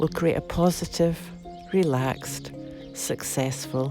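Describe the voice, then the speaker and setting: Music plays in the background while a woman talks fairly slowly with ordinary pitch variation. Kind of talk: guided meditation. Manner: slow, soothing, calm.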